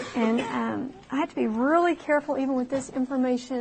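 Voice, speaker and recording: Fairly quick speech with fairly even intonation comes through noticeable background noise. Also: woman. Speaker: math teacher. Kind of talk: lecture.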